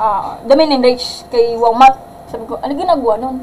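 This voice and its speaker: A woman speaks fairly quickly in a high voice with ordinary pitch variation. Noticeable background noise is present. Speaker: math teacher. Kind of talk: livestream lesson. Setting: livestream. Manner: loud.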